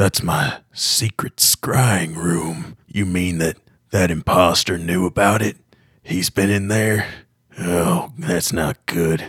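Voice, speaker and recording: Putting on a raspy character voice, a man speaks at a very slow pace in a very deep, low pitch with ordinary pitch variation. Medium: actual play. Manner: blunt, cursing.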